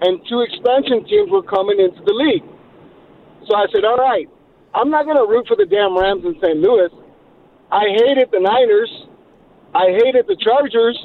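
With an American accent, a man speaks at a moderate pace in an extremely high pitch, using lively intonation, very even loudness and long, frequent pauses. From Los Angeles. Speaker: radio caller. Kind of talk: call-in chat.

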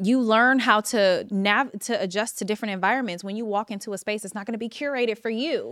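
A woman with a fairly high voice rushes along at a very fast pace, hardly pausing, her intonation fairly even. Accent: Californian. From Los Angeles, California. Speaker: TV showrunner and writer. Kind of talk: casual chat. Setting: studio.

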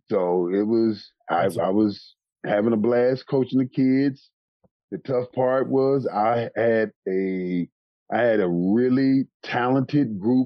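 At a very slow pace, a man with an American accent talks with ordinary pitch variation and very even loudness. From Texas, Dallas. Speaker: former NFL running back and high school coach. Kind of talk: interview. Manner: animated.

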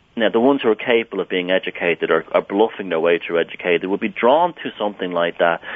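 A man talks with an Irish accent. His pitch is fairly low. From Southern Ireland. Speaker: author and artist. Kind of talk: interview. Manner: halting.

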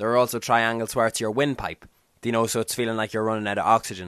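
Over a quiet background, a man with an Irish accent speaks at a medium pitch, the sound dry and close with no echo. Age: 20s. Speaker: podcast host. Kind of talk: casual chat.

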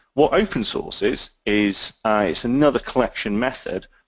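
A man with a British accent, at a moderate pace. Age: 30s. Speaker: intelligence analyst and author. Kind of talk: interview. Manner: halting, many fillers.

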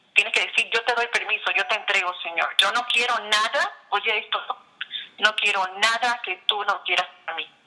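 The speaker keeps a moderate pace with ordinary pitch variation, over noticeable background noise. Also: woman, fairly high pitch for a woman. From Puerto Rico. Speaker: author and international speaker. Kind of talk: interview. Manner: halting, with frequent repetitions.

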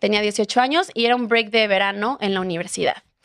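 A woman with a Mexican accent at a moderate pace, in a dry, close sound with no echo. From Mexico, Puerto Vallarta (Jalisco). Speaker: travel content creator. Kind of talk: casual chat.

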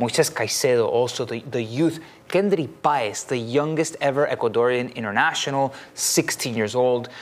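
A man with an unremarkable speaking voice, ordinary pitch variation and a moderate pace. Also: medium pitch for a man. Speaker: football pundit. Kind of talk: casual chat. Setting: studio.

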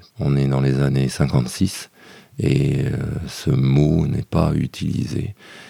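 Very slowly, a man speaks in a dark, mellow tone. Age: 60s. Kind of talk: interview testimony. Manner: reflective with hesitations.

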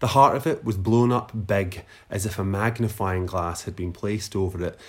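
On a very clean recording with a silent background, a man speaks at a moderate pace. His fairly low voice is somewhat breathy, with fairly even intonation. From Scotland, Lanarkshire (Newarthill near Motherwell). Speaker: writer and literary podcast host. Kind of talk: reading aloud own essay; casual chat.

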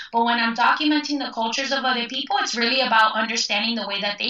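A woman's fairly high voice with ordinary pitch variation, over noticeable background noise. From Cuban-American, Cuban family from Spain. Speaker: folklorist. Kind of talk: casual interview. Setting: phone call.

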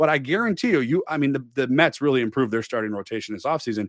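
A man speaks very fast with a fairly high pitch and an American accent. The recording is very clean and dry, close with no echo, over a silent background. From Milwaukee, Wisconsin. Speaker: sports podcast host, army veteran. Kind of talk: casual chat.

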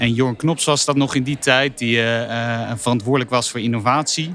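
An unremarkable speaking voice keeps fairly even intonation at a moderate speed. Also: man. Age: 30s. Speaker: sports data analyst. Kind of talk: casual chat. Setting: company office.

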